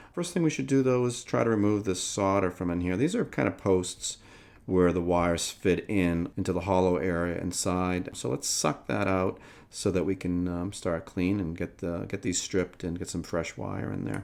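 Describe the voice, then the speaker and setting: Very deep and low in pitch, a man speaks at a moderate pace with ordinary pitch variation. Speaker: electronics restoration hobbyist. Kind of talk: tutorial. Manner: casual with many fillers. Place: workshop.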